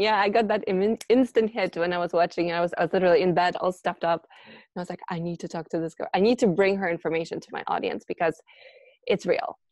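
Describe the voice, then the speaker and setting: A woman talks at a very fast pace. Her loudness swings widely while her pitch varies in an ordinary way. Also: medium pitch for a woman. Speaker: interviewer and coach. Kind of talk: casual interview.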